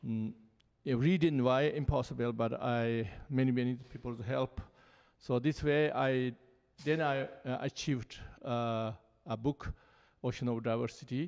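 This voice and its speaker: With a Tibetan accent, a man at a medium pitch speaks at a fairly slow pace with fairly even intonation. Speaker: Buddhist lama. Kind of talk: panel dialogue. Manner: halting.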